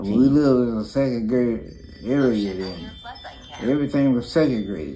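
With music in the background, a man with an East Texas accent talks at a moderate pace. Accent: Southern US (East Texas). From Beaumont, Texas. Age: 80s+. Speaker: grandfather telling family history. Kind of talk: interview answer. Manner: halting, hesitant. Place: home room. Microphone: phone near.

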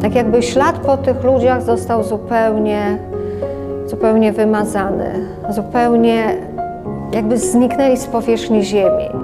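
Clear music plays in the background as a woman speaks at a fairly slow pace with long, frequent pauses. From Lublin, Poland. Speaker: oral history interviewee. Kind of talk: oral history interview answer. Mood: reflective, wistful. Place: home room.

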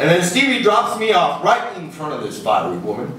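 A man speaks in an animated, playful tone. Audible room echo and light background noise surround him. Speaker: poet performing his own poem; poet performer. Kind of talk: spoken-word poetry performance, rhythmic rhymed storytelling with audience laughter; poetry reading. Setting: live in front of an audience at a bar venue. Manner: animated, playful, rhythmic delivery, cheeky and laughing at his own jokes; jokey, upbeat and sing-song, switching into character voices for the dialogue. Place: stage.

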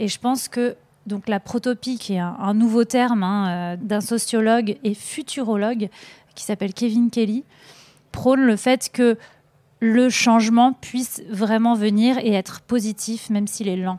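A woman speaks at a fairly slow pace with a fairly high pitch and fairly even intonation, in a dry, close sound with no echo. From northern France. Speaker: documentary filmmaker. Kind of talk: interview. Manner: hesitant, many fillers.

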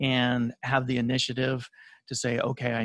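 Recorded in a dry sound with no echo, a man speaks against a quiet background. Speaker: guest. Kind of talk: interview answer. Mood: relaxed, occasional laughs. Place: studio.

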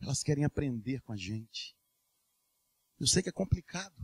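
The voice is somewhat breathy, with lively intonation at a fairly slow pace, and the sound is dry and close with no echo. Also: man. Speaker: preacher. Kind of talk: sermon. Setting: church. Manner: earnest, urgent preaching, with direct appeals to the congregation.

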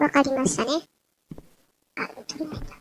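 At a moderate pace, a woman speaks at a high pitch. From Kansai. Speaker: gamer. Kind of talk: game commentary. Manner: casual.

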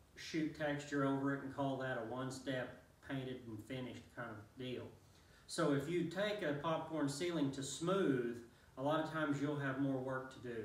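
With audible room echo, a man speaks at a moderate pace and ordinary pitch variation. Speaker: contractor reviewing a tool. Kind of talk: tutorial. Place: empty room. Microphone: camera far.

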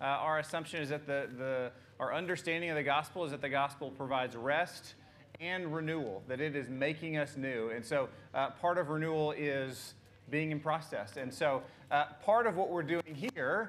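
Over light background noise, a man talks at a moderate pace with ordinary pitch variation. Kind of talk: welcome and announcements. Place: church.

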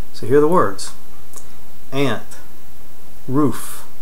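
Here is a man with an American accent. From North Carolina, USA. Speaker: accent tag participant. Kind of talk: accent tag word list and answers. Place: home room. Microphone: webcam.

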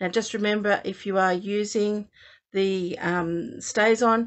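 In a quiet background, a woman talks at a very slow pace with ordinary pitch variation. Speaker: card maker demonstrating. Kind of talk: tutorial.

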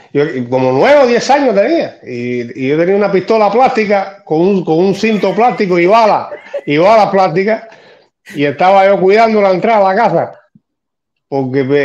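Lively intonation from a high-voiced man at a moderate pace. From Cuba, Havana; Cuba. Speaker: neighbor telling an anecdote; interview guest. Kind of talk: anecdote. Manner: halting. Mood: animated storytelling. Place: home room. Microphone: video call.

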